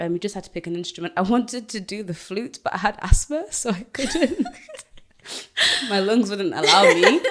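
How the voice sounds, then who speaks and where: A woman at medium pitch with a Yorkshire accent, moderate pace, lively intonation and big swings in loudness. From northern England (Doncaster, Yorkshire), born in Zimbabwe. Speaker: singer and radio host. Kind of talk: casual interview chat.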